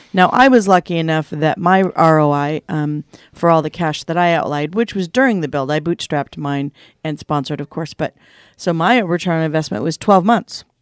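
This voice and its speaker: Recorded very cleanly against a silent background with a dry, close sound and no echo, a woman with an unremarkable speaking voice talks at a fairly quick pace, fairly low in pitch, with ordinary pitch variation. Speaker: podcast co-host.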